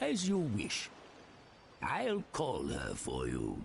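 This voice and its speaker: A man's put-on character voice at a very slow pace, with clear background noise. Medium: video game.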